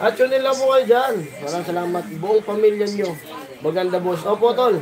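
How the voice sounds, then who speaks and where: A man speaks at a fairly quick pace in a high voice with ordinary pitch variation. Music plays in the background. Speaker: livestream vlogger. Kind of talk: casual livestream chat with viewer shoutouts. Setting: live stream.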